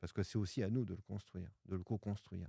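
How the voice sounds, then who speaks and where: Recorded dry and close with no echo against a silent background, a man talks at a fairly quick pace in a dark, mellow tone. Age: 60s. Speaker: pianist and author. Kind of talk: podcast interview. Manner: hesitant fillers (euh).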